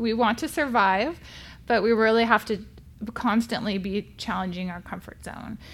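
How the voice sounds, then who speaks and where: A woman with an American accent speaks in an ordinary speaking voice at a fairly high pitch and a moderate pace, with ordinary pitch variation and big swings in loudness. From California. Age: 40s. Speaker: therapist. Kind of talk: casual chat.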